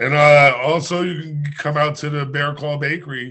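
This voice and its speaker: A man talks at a moderate pace in a fairly high pitch, his intonation flat and monotone. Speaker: bartender. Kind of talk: casual chat. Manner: loud. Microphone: connection cutting out.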